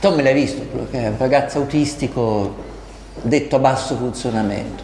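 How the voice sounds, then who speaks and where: Amid audible room echo and noticeable background noise, a man of medium pitch speaks at a moderate pace with ordinary pitch variation. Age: 60s. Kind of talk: documentary narration.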